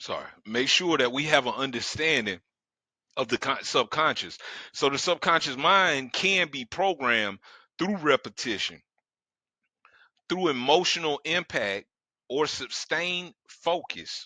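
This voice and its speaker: A man's fairly high, bright, sharp voice with vocal fry and lively intonation, at a fairly slow pace with long, frequent pauses, in a dry, close sound with no echo and a quiet background. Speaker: metaphysical speaker and author. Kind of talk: webinar lecture. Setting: online webinar. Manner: casual conversational.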